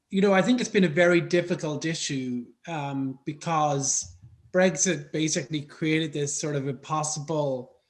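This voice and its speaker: With an Irish accent, a man speaks at a moderate pace in a fairly high pitch with ordinary pitch variation. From Ireland, Dublin. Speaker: foreign policy expert. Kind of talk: panel discussion.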